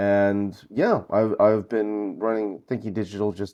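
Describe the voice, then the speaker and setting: In a Northeastern US accent, a man speaks at a fairly slow pace with a fairly low pitch and a dark, mellow tone. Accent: American Northeast. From US Northeast, Brooklyn. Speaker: conference founder and event organiser. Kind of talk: podcast interview. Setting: remote call from North Carolina.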